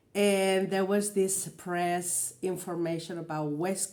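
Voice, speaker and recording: A woman with a Spanish accent speaks very slowly in a fairly low pitch. Her tone is dark and mellow, and her intonation stays flat and monotone. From Spain. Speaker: vlogger and singer. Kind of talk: reaction video commentary. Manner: hesitant, many fillers.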